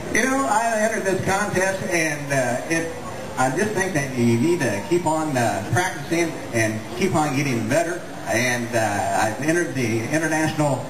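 Over noticeable background noise, a man with an American accent speaks at a moderate pace with lively intonation. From Iowa, USA. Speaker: auctioneer, contest finalist. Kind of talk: interview answer. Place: stage.

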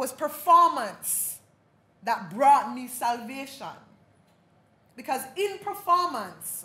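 In a raised, projected voice at a high pitch, a woman speaks at a very slow pace with very wide pitch swings, big swings in loudness and audible room echo. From Jamaica. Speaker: dub poet, playwright-performer. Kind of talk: keynote address, performative lecture. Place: hall. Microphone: podium.

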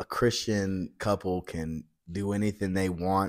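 A man with a fairly low pitch speaks at a very slow pace against a quiet background. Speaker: podcast guest. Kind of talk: interview answer. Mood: relaxed, occasional laughter. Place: hall.

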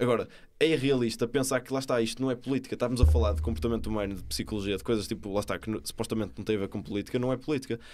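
Talking at a very fast pace with hardly any pauses, a man uses lively intonation and vocal fry over light background noise. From Portugal. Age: young. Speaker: young entrepreneur; podcast guest. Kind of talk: podcast interview. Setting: studio. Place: studio. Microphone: studio mic.

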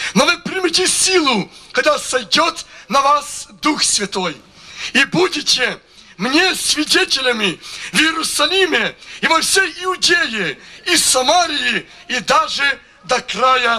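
Raised and projected, a man's voice moves very slowly with lively intonation and long, frequent pauses. His loudness stays very even. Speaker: preacher. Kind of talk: testimony. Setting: church. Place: stage. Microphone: handheld.

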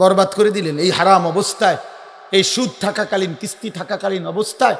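A man with a high voice talks against noticeable background noise. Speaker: Islamic preacher. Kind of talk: sermon. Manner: animated.

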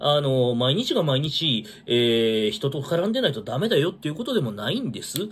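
This man's fairly high voice moves through very wide pitch swings. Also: moderate pace. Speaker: vlogger. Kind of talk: casual solo talk commenting on news. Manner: rambling, filler-heavy, casual. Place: home room. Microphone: phone near.

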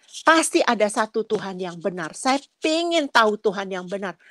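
Captured in a dry, close sound with no echo on a very clean recording with a silent background, a woman of medium pitch talks at a moderate pace with very wide pitch swings. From Nias, Indonesia. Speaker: churchgoer giving testimony. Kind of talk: testimony. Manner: halting.

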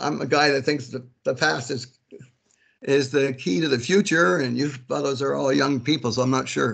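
Over a quiet background, a man talks at a moderate pace with vocal fry. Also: ordinary pitch variation. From New Brunswick, Canada. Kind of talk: meeting discussion remarks. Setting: video call. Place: home room. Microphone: video call.

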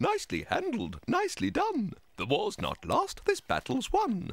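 A put-on character voice, high-pitched and sing-song, at a moderate pace. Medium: audio drama. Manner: sing-song, rhyming.

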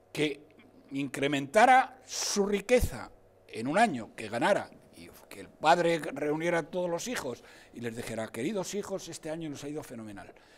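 Speaking at a moderate pace, a man with a fairly high pitch makes very wide pitch swings and big swings in loudness. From Spain, Salamanca. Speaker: economics professor, political commentator. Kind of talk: TV political debate. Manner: animated. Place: studio. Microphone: lapel.

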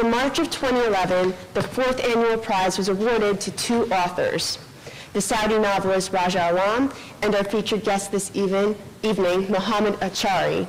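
Over light background noise, the speaker keeps a moderate pace, fairly even intonation and very even loudness. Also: woman. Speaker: event host introducing speakers. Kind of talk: formal introduction reading a bio. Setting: live event with audience. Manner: formal. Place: hall. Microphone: podium.

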